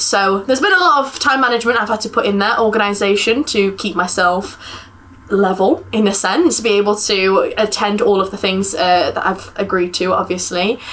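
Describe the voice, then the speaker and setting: Noticeable background noise sits under this woman's voice. She talks at a moderate pace, her pitch varying in an ordinary way. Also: medium pitch for a woman. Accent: English. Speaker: university student. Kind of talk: casual interview.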